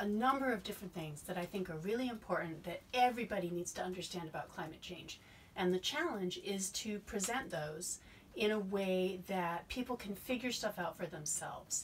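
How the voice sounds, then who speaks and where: A somewhat breathy woman speaks at a moderate pace with ordinary pitch variation. Light background noise can be heard. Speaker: science educator. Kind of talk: explanatory talk to camera.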